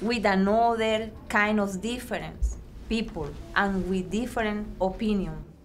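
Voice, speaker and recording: A woman speaks at a very slow pace with fairly even intonation, and the room echo is audible. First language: not English. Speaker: immigrant English learner. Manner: halting.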